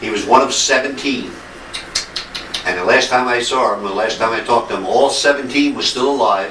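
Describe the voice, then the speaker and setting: Amid noticeable background noise and audible room echo, a man in an American accent talks fairly quickly at a medium pitch with ordinary variation. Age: 70s. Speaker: visiting relative, Navy veteran. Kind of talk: casual chat.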